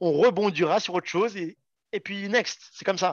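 A man keeps a moderate pace. His voice is pitched high. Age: 30s. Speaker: soldier and poker player. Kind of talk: casual interview.

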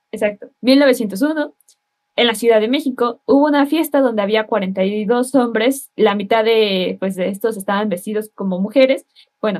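Speaking at a fairly high pitch, a woman has a plain, everyday voice. She goes at a fairly slow pace with ordinary pitch variation. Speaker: civil engineering student. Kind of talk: casual chat.

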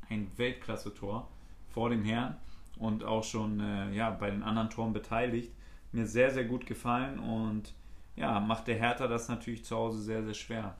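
With audible room echo, a man talks at a moderate pace in a monotone, flat intonation. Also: medium pitch for a man. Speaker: football podcast co-host. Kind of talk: casual chat. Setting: studio, sitting across from co-host.

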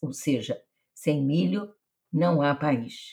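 A woman's very deep, low, somewhat breathy voice at a very slow pace with lively intonation. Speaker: podcast host. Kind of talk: interview.

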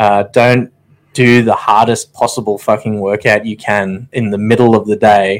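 Speaking at a moderate pace with fairly even intonation, a man with an Australian accent is heard on a very clean recording with a silent background. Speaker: podcast co-host, army veteran. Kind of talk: casual chat. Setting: studio.

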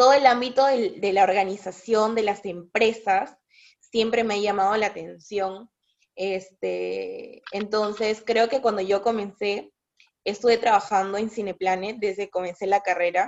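A woman with a plain, everyday voice speaks at a medium pitch and a fairly slow pace. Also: fairly even intonation. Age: 20s. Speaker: psychologist. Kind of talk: casual chat.

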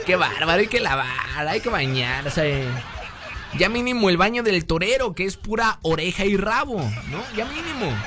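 A man with a high pitch uses a raised, projected voice, an animated tone and very wide pitch swings at a moderate pace. Noticeable background noise is present. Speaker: radio host. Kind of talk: casual radio talk show.

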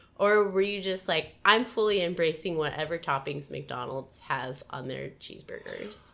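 With an American accent, a woman in an unremarkable speaking voice, fairly low in pitch, talks at a moderate pace with lively intonation, hardly any pauses and big swings in loudness. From US Midwest. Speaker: podcast host. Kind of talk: casual interview; scripted narration.

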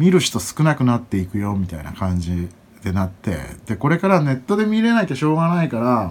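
Here a man speaks at a fairly quick pace. His pitch swings very widely. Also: medium pitch for a man. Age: 30s. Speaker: podcast host and event MC. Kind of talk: solo casual monologue. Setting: at home. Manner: halting, many fillers.

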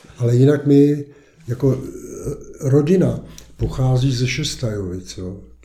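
The speaker's pitch varies in an ordinary way, with long, frequent pauses. Room echo is audible. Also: man, medium pitch for a man, fairly slow pace. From Czech Republic, east of Prague. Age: 70s. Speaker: lawyer and local resident. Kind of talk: casual interview.

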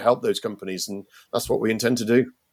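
A man with a British accent speaks at a medium pitch with fairly even intonation. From Britain. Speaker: startup founder and CEO. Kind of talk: podcast interview. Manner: halting, many fillers.

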